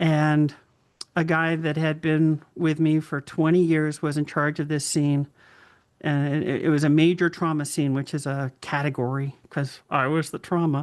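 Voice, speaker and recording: A woman with an American accent speaks in a very deep, low pitch. Her intonation is monotone and flat against a quiet background. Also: moderate pace. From Boston area. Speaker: author and former first responder. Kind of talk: interview answer.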